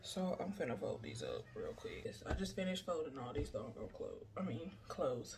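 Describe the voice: A woman's low-pitched voice with very wide pitch swings. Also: moderate pace, slightly mellow tone.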